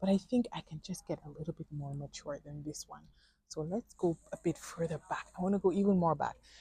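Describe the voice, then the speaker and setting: A woman's voice sounds somewhat breathy, with a dark, mellow tone. The recording is dry and close, with no echo. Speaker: plant vlogger. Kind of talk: casual vlog tutorial. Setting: plant nursery.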